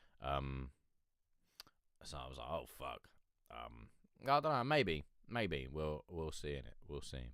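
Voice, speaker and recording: A man with a very deep, low voice and vocal fry talks at a fairly slow pace, with lively intonation, big swings in loudness, and long, frequent pauses. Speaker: independent music reviewer / live streamer. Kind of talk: casual live-stream chat. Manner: hesitant, rambling.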